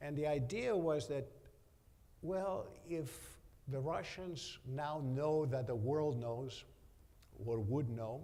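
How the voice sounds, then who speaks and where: A man with a Romanian accent speaks at a very slow pace, with long, frequent pauses and ordinary pitch variation. His voice is fairly high in pitch with a dark, mellow tone, and audible room echo surrounds it. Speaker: business executive. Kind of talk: onstage interview.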